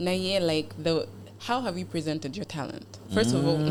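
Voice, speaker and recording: Noticeable background noise sits behind a woman speaking at a moderate pace. Her pitch is very deep and low. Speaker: beauty pageant contestant. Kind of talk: podcast interview. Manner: code-switching English and Luganda.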